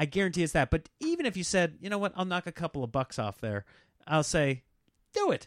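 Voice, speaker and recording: A man with a high pitch and an American accent at a fairly quick pace, in a dry, close sound with no echo and a very clean recording with a silent background. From Nebraska. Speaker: comedian. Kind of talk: casual chat; show promo.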